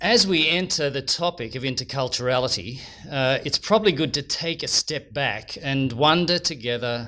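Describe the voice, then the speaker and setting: With an Australian accent, a man speaks at a fairly high pitch in a bright, sharp tone. His intonation is lively and his pace moderate. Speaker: lecturer on interculturality. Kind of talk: lecture.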